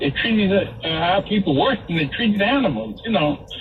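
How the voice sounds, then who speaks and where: With music in the background, a man talks at a high pitch and a moderate pace, his intonation lively. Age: 80s+. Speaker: caller. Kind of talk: call-in radio talk.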